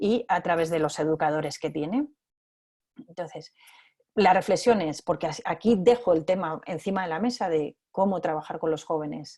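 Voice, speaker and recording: This woman's pitch is fairly low. Her tone is dark and mellow. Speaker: biologist and scout educator giving a talk. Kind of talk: online talk with slides. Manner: fast; hesitant, repeats words.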